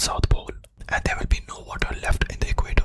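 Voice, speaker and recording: Whispering at a fairly quick pace in a calm tone, the speaker comes through noticeable background noise. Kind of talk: ASMR educational fact explainer. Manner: whispered; soft-spoken, calm.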